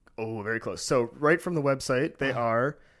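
This man has an unremarkable speaking voice at a medium pitch. His pace is moderate, with ordinary pitch variation. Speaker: podcast co-host. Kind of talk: casual banter. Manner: jokey.

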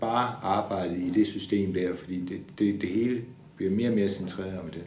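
In a room with audible echo, a man speaks slowly-ish at a fairly slow pace, his dark, mellow tone carrying fairly even intonation. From Denmark, Funen (Odense). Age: 60s. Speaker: bank adviser. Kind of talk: interview testimony. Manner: hesitant, many fillers.

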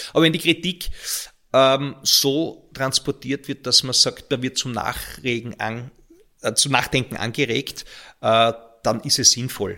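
A man speaks at a very slow pace with long, frequent pauses, at a medium pitch with ordinary pitch variation. His tone is bright and sharp, and the recording is very clean with a silent background. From Austria, Graz (Styria). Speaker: local politician. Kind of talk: interview. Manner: halting, repeats words.

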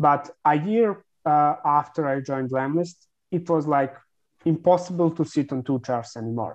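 Speaking with a Serbian accent, a man has a fairly high pitch and ordinary pitch variation. The background is quiet. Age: 20s. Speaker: content marketing agency founder. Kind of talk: interview.

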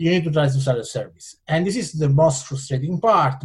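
A man with an Italian accent speaks at a fairly high pitch. His voice is somewhat breathy, with ordinary pitch variation. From Italian-speaking Switzerland. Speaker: entrepreneur. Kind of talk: interview.

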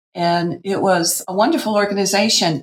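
With an American accent and vocal fry, a woman speaks at a moderate pace. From US Pacific Northwest (Portland, Oregon), teens in Wisconsin. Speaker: dressmaker and sewing educator. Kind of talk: casual interview.

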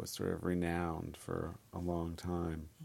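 A man with a very deep, low pitch and a dark, mellow tone. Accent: Californian. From US West Coast, San Francisco Bay Area. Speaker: documentary filmmaker and film editor. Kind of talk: interview. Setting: office.

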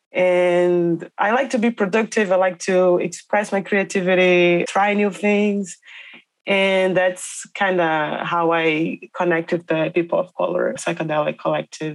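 A woman speaks at a fairly slow pace with a Portuguese accent, her pitch fairly low. Her intonation stays fairly even, her loudness very even, and the background is quiet. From Brazil. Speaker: educator and researcher. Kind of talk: interview conversation. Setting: remote call from Brazil.

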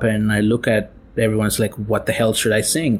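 With noticeable background noise behind him, a man speaks at a moderate pace and a fairly low pitch. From India (Tirunelveli, Tamil Nadu). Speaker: storyteller and DJ. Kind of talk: personal storytelling.

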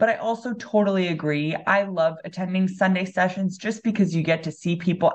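A woman with a plain, everyday voice at medium pitch, moderate pace and fairly even intonation. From Los Angeles, California. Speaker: MBA student, former pro water polo player. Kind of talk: casual interview.

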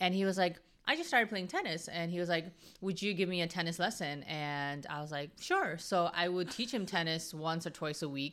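The background is silent and the recording very clean. An ordinary speaking voice goes at a fairly quick pace, its pitch varying in an ordinary way. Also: woman, fairly low pitch for a woman. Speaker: real estate agent and investor. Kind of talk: casual podcast interview.

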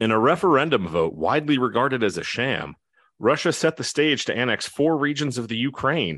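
A man with an American accent, vocal fry, very wide pitch swings and a fairly quick pace. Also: medium pitch for a man. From New Jersey. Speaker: trivia quiz host. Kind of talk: quiz show hosting.

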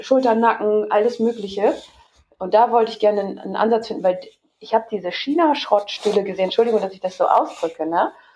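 A woman at a very fast pace, fairly high pitch, ordinary pitch variation and big swings in loudness. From Hamburg, northern Germany. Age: 30s. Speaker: entrepreneur. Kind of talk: interview.

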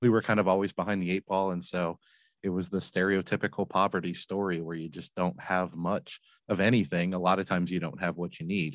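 With an American accent, a man talks very fast in a very deep, low voice with ordinary pitch variation, the sound dry and close with no echo over a quiet background. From Flint, Michigan, US. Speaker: laundromat business owner and author. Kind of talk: interview.

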